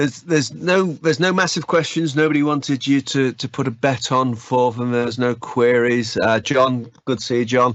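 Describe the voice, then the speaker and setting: Here a man speaks in a northern English accent. He keeps a moderate pace with hardly any pauses. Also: medium pitch for a man, ordinary pitch variation. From northern England. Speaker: user group host. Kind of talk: casual chat.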